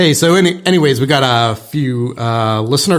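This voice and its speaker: A man talks in a plain, everyday voice at a moderate pace, with ordinary pitch variation. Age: middle-aged. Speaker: real estate broker and podcast host. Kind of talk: casual podcast chat.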